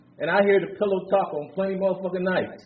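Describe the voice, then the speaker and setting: Animated in tone, a man speaks at a high pitch, with audible room echo around him. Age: 60s. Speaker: recovery speaker. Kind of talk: recovery share. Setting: conference stage with audience.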